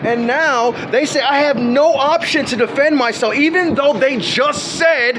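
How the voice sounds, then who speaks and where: Noticeable background noise and audible room echo surround a voice with ordinary pitch variation. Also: man. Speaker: person filming a dispute with officials. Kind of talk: heated argument. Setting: outdoors. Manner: fast; agitated.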